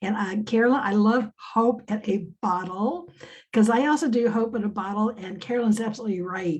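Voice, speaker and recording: A woman's somewhat breathy voice, fairly high in pitch, at a fairly quick pace with ordinary pitch variation. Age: 70s. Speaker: business coach and academic. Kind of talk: casual chat. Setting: video call.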